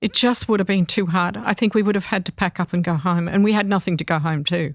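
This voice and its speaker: A woman's medium-pitched voice with an Australian accent at a very fast pace, very even in loudness, in a dry, close sound with no echo and a very clean recording with a silent background. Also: ordinary pitch variation. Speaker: mother of musicians, interview guest. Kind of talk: interview. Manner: halting, many fillers.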